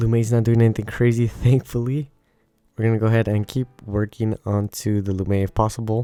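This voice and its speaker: Quiet and dark, mellow in tone, a man at medium pitch speaks at a fairly quick pace. His intonation is monotone and flat, with a dry, close sound and no echo. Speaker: gaming YouTuber. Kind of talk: gameplay commentary. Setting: home recording at midnight. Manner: quiet, low volume.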